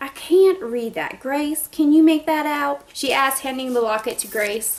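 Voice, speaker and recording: Her pitch is high. A woman speaks over noticeable background noise. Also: lively intonation, moderate pace. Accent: Southern US. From Southern United States. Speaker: book reviewer. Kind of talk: read story.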